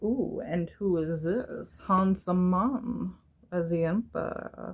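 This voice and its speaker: A female-sounding, put-on character voice moves at a very slow pace at medium pitch. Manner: silly, playful.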